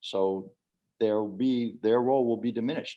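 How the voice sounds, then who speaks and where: Against a quiet background, a man speaks with an American accent. His pace is moderate and his pitch varies in an ordinary way. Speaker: former diplomat. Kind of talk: Q&A at online book launch. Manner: halting.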